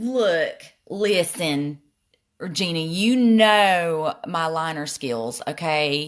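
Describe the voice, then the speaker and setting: A woman with a Southern US accent, very slow pace, lively intonation and fairly low pitch, on a very clean recording with a silent background. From US South. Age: middle-aged. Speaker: makeup vlogger. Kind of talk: makeup tutorial with live chat. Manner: casual, chatty.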